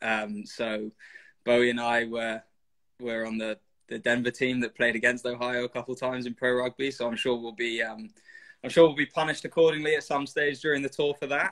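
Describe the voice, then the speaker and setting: A man with a London accent, medium pitch and fairly even intonation, at a fairly quick pace over a quiet background. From London, England. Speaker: rugby player. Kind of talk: casual interview. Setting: video call. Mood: relaxed, smiling. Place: home room. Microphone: video call.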